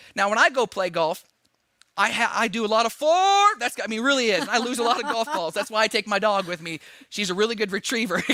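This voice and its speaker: Speaking at a very fast pace, a man with a high pitch and ordinary pitch variation uses a raised, projected voice with a bright, sharp tone. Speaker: auctioneer. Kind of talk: live auction calling. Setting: virtual fundraising gala broadcast.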